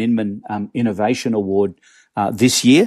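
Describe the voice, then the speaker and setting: A man with an Australian accent talks at a moderate pace in a dark, mellow tone with fairly even intonation. The sound is dry and close with no echo, in a very clean recording with a silent background. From Australia, Melbourne. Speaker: real estate agent and startup co-founder. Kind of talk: interview.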